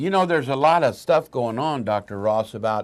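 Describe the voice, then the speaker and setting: Speaking at a medium pitch, a man has a plain, everyday voice with lively intonation. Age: 60s. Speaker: talk show host. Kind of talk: health talk show interview.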